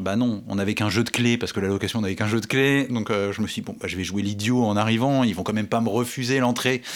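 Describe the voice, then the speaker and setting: The speech comes very fast with hardly any pauses and fairly even intonation. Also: man. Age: 40s. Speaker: amateur triathlete. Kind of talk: casual chat.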